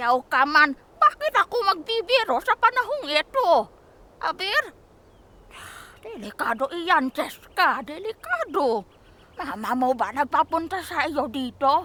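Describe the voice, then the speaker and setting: A woman puts on a high-pitched character voice with very wide pitch swings. The sound is dry and close, with no echo. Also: fairly slow pace. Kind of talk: audio drama.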